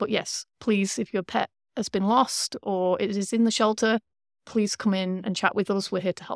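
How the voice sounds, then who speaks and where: Recorded very cleanly with a silent background and a dry, close sound with no echo, a woman with a British accent speaks at a medium pitch and moderate pace with fairly even intonation. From UK. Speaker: shelter veterinarian. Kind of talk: casual interview.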